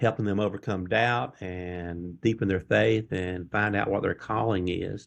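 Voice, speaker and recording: Speaking with a Mississippi accent, a man has a fairly low pitch. His pace is fairly slow and his intonation fairly even. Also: hardly any pauses. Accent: Southern US (Mississippi). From Mississippi, US South. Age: 60s. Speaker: faith-based life coach. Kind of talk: interview conversation.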